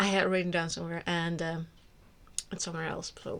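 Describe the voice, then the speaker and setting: A woman talks at a fairly quick pace. She has an Icelandic accent. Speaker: book vlogger. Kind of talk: casual monologue to camera. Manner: hesitant, many fillers and restarts.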